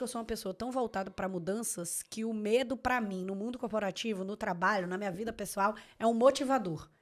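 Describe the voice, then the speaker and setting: Very fast and fairly high-pitched, a woman speaks with ordinary pitch variation on a very clean recording with a silent background. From Bahia, Salvador. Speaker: lawyer. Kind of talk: casual chat. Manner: animated.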